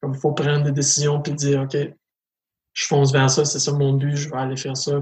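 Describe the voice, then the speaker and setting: Somewhat breathy, a man talks in a flat monotone at a fairly high pitch. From Canada, northwestern New Brunswick (Acadian French). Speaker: LGBTQ school outreach speaker. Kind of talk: interview testimony. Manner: hesitant, with many repetitions.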